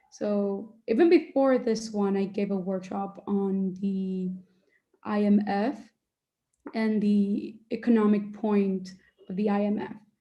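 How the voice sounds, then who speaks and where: Speaking with a Spanish accent, a woman talks at a very slow pace in a medium pitch with fairly even intonation. Her voice is somewhat breathy, with a dark, mellow tone. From Dominican Republic. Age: young. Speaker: medical student and debate coach. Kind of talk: Q&A in an online workshop. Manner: uses many filler words.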